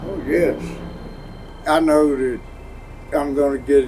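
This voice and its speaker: Noticeable background noise and audible room echo surround a man whose pitch is fairly high. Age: 70s. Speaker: war veteran. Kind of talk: interview. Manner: hesitant, many fillers.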